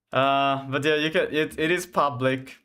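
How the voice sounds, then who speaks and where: A man in a Finland Swedish accent talks at a fairly quick pace and medium pitch on a very clean recording with a silent background. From Finland (Swedish-speaking). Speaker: game developer streamer. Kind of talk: live coding stream. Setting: live stream. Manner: halting, many fillers.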